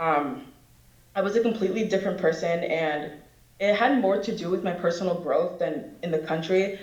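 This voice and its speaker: A woman with an American accent talks at a fairly quick pace in a medium pitch with ordinary pitch variation. Audible room echo and noticeable background noise are present. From Dominican Republic, then US. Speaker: university student, immigrant panelist. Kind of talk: personal testimony on a panel. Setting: auditorium panel with audience.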